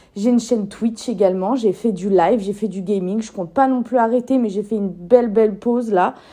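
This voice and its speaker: A woman talks at a fairly quick pace with hardly any pauses, her fairly high voice dark and mellow in tone, her intonation fairly even. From France, Lyon. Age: 20s. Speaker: podcaster and YouTuber. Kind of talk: casual solo podcast monologue.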